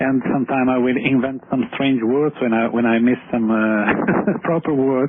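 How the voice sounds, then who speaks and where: A man of medium pitch in an Italian accent, with very even loudness, fairly even intonation and hardly any pauses, over noticeable background noise. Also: moderate pace. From Italy. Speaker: space writer and entrepreneur. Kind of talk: interview. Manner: halting, hesitant.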